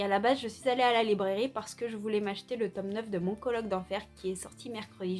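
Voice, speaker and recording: With music playing in the background, a woman speaks in a fairly high voice with ordinary pitch variation. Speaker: booktuber. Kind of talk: casual vlog about books. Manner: hesitant with many fillers.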